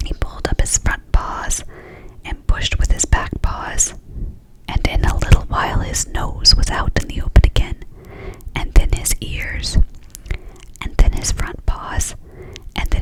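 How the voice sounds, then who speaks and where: Whispering, a woman speaks with long, frequent pauses while noticeable background noise runs beneath her. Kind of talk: whispered ASMR storybook reading. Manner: whispered, soft, slow.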